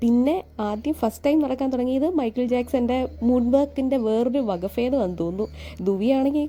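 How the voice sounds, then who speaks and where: Here is a woman with a high pitch and a dark, mellow tone. Her pitch variation is ordinary. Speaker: vlogger. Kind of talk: vlog narration.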